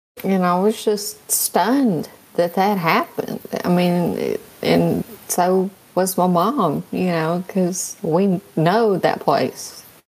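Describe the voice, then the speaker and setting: A soft-spoken woman with a medium pitch talks at a very slow pace, her loudness very even and her pitch varying in an ordinary way. Noticeable background noise can be heard. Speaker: podcast co-host. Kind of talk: casual chat. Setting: remote call on a livestream.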